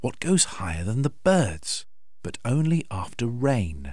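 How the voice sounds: The voice reads aloud. It sounds natural.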